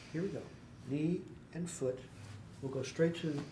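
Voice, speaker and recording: Soft-spoken and soothing in tone, a man talks at a fairly slow pace with a fairly high pitch. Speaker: chiropractor. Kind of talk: instructional demonstration. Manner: soft-spoken, soothing.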